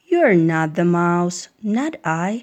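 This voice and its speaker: A woman puts on a character voice. Her pitch sits fairly low. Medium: read story.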